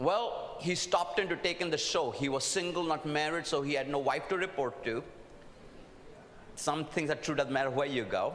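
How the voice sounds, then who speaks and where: At a moderate pace and very even loudness, the voice carries ordinary pitch variation amid audible room echo and noticeable background noise. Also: man, fairly high pitch for a man. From India. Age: old. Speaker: preacher. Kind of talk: sermon.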